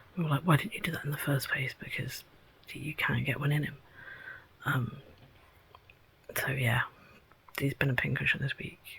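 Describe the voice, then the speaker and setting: With an English accent, a woman talks at a fairly quick pace. Her speech has long, frequent pauses. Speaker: vlogger. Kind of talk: casual vlog.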